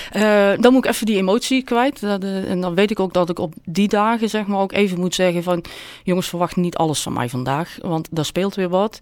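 A woman speaks at a moderate pace in an ordinary speaking voice. Her pitch is medium, with ordinary pitch variation. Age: 50s. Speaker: volunteer editor sharing her burn-out story. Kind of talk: personal interview.

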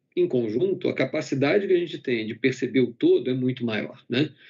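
A man's medium-pitched voice with vocal fry, very wide pitch swings and a fairly quick pace. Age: 50s. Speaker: company medical executive. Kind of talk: corporate webinar panel talk. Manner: halting with frequent fillers.

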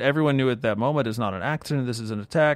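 Against a quiet background, a man talks at a medium pitch with ordinary pitch variation. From US Northeast, New York metro area. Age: 40s. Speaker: pastor. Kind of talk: online sermon. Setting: livestream. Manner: animated.

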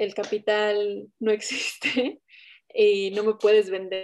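Very slowly and in a monotone, flat intonation, a woman speaks with a fairly high pitch and a dark, mellow tone. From Toluca, central Mexico. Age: 20s. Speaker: documentary filmmaker and photographer. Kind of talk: round-table discussion.

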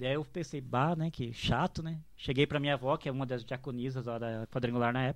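On a very clean recording with a silent background, a man talks at a fairly quick pace in a fairly high pitch with ordinary pitch variation. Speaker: drum teacher and church musician. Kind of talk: casual chat.

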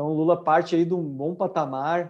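There's a dark, mellow tone to this man's fairly high voice, which moves at a moderate pace with ordinary pitch variation over a quiet background. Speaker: co-host. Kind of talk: casual political discussion. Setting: live video stream.

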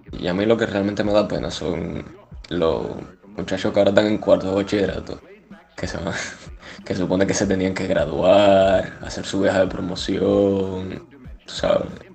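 Fairly even intonation marks this man's speech, broken by long, frequent pauses. Noticeable background noise and audible room echo fill the recording. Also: fairly low pitch for a man, moderate pace. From Cuba. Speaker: podcast co-host, engineering student. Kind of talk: casual chat. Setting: video call.

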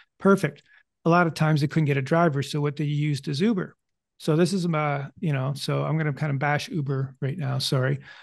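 A man speaks at a fairly quick pace, his voice somewhat breathy and fairly high. His intonation stays fairly even over a quiet background. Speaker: psychic medium and podcast host. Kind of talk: casual interview conversation. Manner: halting, many fillers and repetitions.

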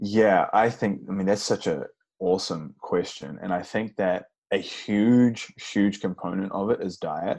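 A man talks with a New Zealand accent at a fairly slow pace. His pitch is fairly low. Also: ordinary pitch variation. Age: 30s. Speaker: vegan bodybuilder and fitness coach. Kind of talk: interview.

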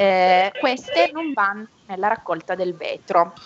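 Music plays in the background as a woman speaks at a fairly slow pace. Her pitch is medium, with ordinary pitch variation. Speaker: association representative. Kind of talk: educational quiz. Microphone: unstable connection.

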